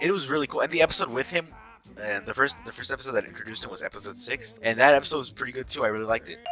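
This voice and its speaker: A man rattles off his words very fast, his pitch varying in an ordinary way, while noticeable noise sits in the background. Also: medium pitch for a man, big swings in loudness. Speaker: YouTuber reviewing a cartoon show. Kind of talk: unscripted casual review. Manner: stuttering, halting; filler-heavy casual speech.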